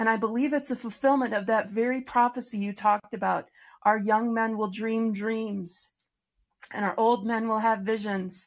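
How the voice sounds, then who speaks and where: Against a quiet background, a woman uses an unremarkable speaking voice at a fairly high pitch, moderate pace and fairly even intonation. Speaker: podcast host. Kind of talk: interview chat with religious tone. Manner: warm, earnest.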